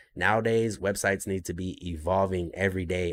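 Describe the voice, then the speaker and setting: A man with a fairly low pitch keeps a moderate pace and fairly even intonation on a very clean recording with a silent background. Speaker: podcast host and business owner. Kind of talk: live Q&A monologue. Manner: halting, many fillers.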